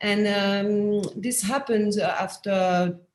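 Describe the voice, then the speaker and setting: A woman with a French accent, her voice somewhat breathy. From France. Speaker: anthropologist and professor. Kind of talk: panel discussion. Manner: halting, many fillers; quiet.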